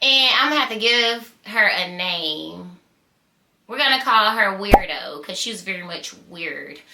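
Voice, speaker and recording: An animated woman with a Southern US accent, fairly high pitch and very wide pitch swings, speaking fairly slowly with long, frequent pauses and big swings in loudness. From US South, small-town Georgia. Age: 20s. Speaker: YouTuber telling stories. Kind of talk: storytime vlog.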